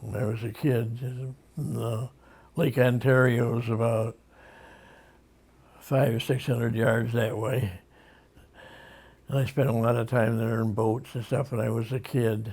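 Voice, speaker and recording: Somewhat breathy and flat in intonation, a man speaks at a fairly slow pace with long, frequent pauses. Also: medium pitch for a man. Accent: Western New York. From Rochester, New York. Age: 80s+. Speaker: war veteran. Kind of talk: interview answer.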